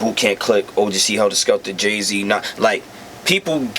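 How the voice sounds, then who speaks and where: A man is speaking. Background noise is noticeable. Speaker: rapper. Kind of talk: casual chat. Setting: recording studio.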